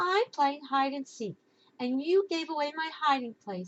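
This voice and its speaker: A woman's high-pitched, put-on character voice with very wide pitch swings at a moderate pace. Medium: read story.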